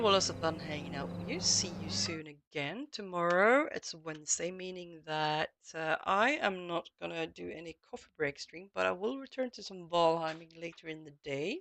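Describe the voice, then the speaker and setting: Speaking at a moderate pace with hardly any pauses, a woman's loudness swings widely. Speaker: gaming streamer. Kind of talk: live stream chat. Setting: home, late evening. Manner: quiet; halting.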